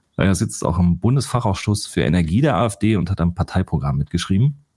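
A man with a very deep, low voice speaks with lively intonation. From Ruhr area, Germany. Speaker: investigative journalist and fact-checker. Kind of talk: podcast discussion.

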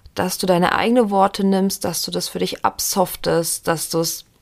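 Her tone is calm and soothing. The woman speaks at a fairly slow pace with a medium pitch. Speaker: podcast host and meditation guide. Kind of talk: guided meditation, autosuggestion script read aloud. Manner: calm, slow, soothing, gently paced.

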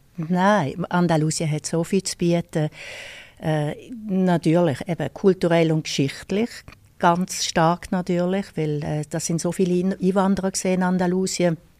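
Her voice fairly low, a woman speaks slowly-ish with fairly even intonation and a dark, mellow tone, in a dry, close sound with no echo. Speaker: tour guide. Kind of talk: interview. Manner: hesitant, many fillers.

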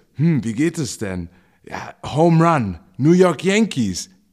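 Across very wide pitch swings, a man talks on a very clean recording with a silent background. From Mainz, Germany. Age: 30s. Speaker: podcast co-host, baseball coach. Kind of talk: casual chat.

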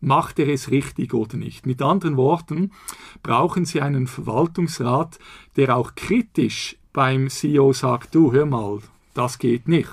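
A man's medium-pitched, somewhat breathy voice at a very slow pace, with ordinary pitch variation. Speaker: law professor. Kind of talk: interview.

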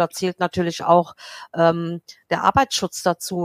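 Delivered at a moderate pace, the voice has a dry, close sound with no echo. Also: woman. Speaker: head of housekeeping at a clinic. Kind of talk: casual interview. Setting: remote call.

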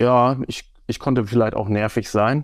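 Fairly even intonation from a man at a medium pitch, against a quiet background. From Germany, Osnabrück. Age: 40s. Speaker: football referee and teacher. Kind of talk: interview conversation.

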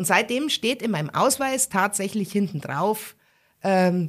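Speaking at a fairly slow pace in a strong Bavarian accent, a woman sounds somewhat breathy, with lively intonation, in a very clean recording with a silent background. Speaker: musician and cabaret artist. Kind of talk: casual interview.

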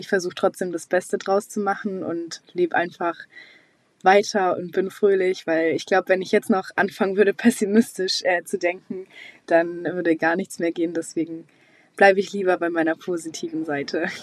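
A woman speaks at a moderate pace and a medium pitch. Her intonation is monotone and flat, and the sound is dry and close with no echo. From Swabia, near Stuttgart. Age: young. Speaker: recent school graduate. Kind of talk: recorded testimony.

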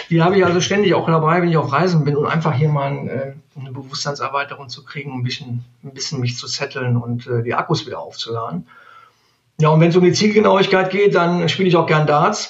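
Very fast, fairly high-pitched male speech with ordinary pitch variation. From Neuss, Rhineland, Germany. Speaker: sales manager. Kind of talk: interview.

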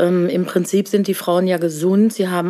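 A woman at a moderate pace, over noticeable background noise. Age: 50s. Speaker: nurse. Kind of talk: casual interview. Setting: office.

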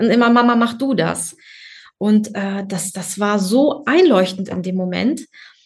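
Somewhat breathy speech unfolds at a fairly slow pace. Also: woman. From Germany. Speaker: office worker and mother. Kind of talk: interview. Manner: hesitant, many fillers.

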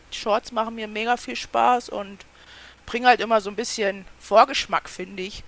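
A woman with a fairly high pitch speaks at a moderate pace, monotone and flat. Her loudness swings widely over noticeable background noise. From Germany, near Kassel (northern Hesse). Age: 30s. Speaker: YouTube crafting creator. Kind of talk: casual interview chat.

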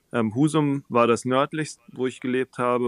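At a moderate pace, a plain, everyday voice talks with fairly even intonation, the sound dry and close with no echo on a very clean recording with a silent background. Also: man. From southern Germany (Baden-Württemberg, near Tübingen). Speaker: pastor and musician. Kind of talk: interview conversation.

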